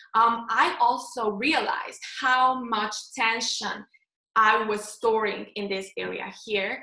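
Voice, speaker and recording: A woman with a Slovenian accent talks very slowly at a fairly high pitch, her intonation fairly even. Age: 20s. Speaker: face yoga instructor. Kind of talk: interview.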